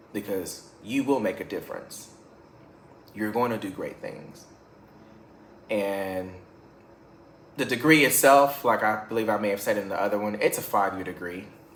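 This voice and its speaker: A man at a fairly low pitch, moderate pace and ordinary pitch variation, with long, frequent pauses and audible room echo. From Louisiana. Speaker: music teacher. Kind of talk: casual vlog monologue. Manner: halting, repeats words.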